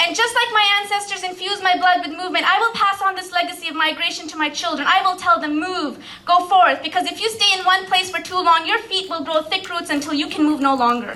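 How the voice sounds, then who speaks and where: A raised, projected voice at a very fast pace, with hardly any pauses and ordinary pitch variation. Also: woman, extremely high pitch for a woman. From Pakistan. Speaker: spoken word poet. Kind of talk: poetry slam performance. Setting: live stage.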